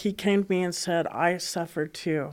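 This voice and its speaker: An American accent at a fairly slow pace, on a very clean recording with a silent background. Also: woman. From Colorado (Boulder). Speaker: guest sharing faith story. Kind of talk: testimony. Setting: recorded in Colorado. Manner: halting.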